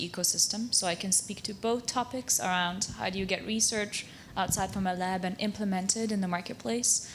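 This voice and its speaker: With a Hungarian accent, a woman talks at a fairly quick pace with hardly any pauses, using a medium pitch and fairly even intonation. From Transylvania, Romania (Szekely Land). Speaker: university technology transfer professional. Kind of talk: round table discussion.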